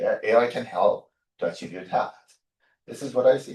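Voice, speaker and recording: Talking at a fairly quick pace, a man has a non-native accent. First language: not English. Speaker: chemistry professor. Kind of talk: panel discussion.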